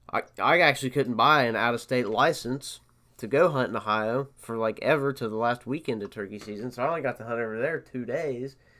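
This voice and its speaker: Recorded very cleanly against a silent background, a man with a bright, sharp tone speaks at medium pitch and a moderate pace. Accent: Appalachian. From West Virginia. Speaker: podcast host, hunter. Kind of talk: casual chat.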